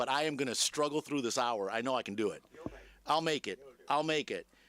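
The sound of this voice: A man puts on a hoarse character voice at a fairly high pitch, talking at a fairly quick pace with ordinary pitch variation in a dry, close sound with no echo.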